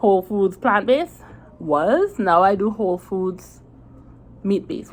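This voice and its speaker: Speaking with a Caribbean accent, a woman has a medium pitch and lively intonation. Her pace is moderate. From Trinidad. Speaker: diet vlogger. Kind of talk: casual vlog talk to camera. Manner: conversational, many fillers and restarts.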